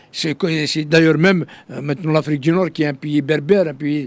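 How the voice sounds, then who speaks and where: A man's fairly high-pitched voice with ordinary pitch variation, plus noticeable background noise. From Algeria (Kabylie). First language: Kabyle (speaking French). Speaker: political activist. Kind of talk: interview. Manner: halting, many fillers and repetitions.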